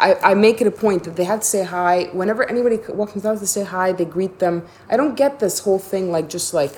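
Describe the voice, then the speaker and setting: A woman talks fairly quickly with hardly any pauses. She has an unremarkable speaking voice at medium pitch with ordinary pitch variation. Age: 40s. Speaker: podcast host. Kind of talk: casual chat.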